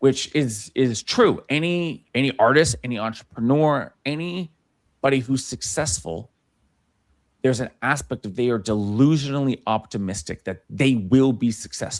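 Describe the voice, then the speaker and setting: Lively intonation marks this man's speech. He has a medium pitch and an American accent. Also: moderate pace. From US West Coast (Los Angeles). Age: 30s. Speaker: brand strategist and filmmaker. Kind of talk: interview conversation. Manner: halting, many fillers and restarts.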